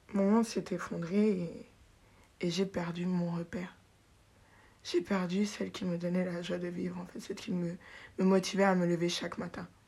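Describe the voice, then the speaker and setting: A woman with a fairly low pitch and a dark, mellow, somewhat breathy tone speaks at a moderate pace in a monotone, flat way, with long, frequent pauses. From Paris, France, raised in Benin. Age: 20s. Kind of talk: personal testimony, faith storytelling, unscripted. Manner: reflective, halting, sincere, emotional; spontaneous, laughs often, self-correcting.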